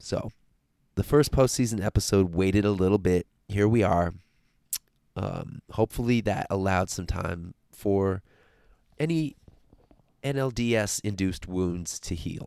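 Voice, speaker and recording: A man with a fairly low pitch and ordinary pitch variation speaks at a fairly slow pace with long, frequent pauses. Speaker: podcast host and sports journalist. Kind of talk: podcast intro, scripted-style chat.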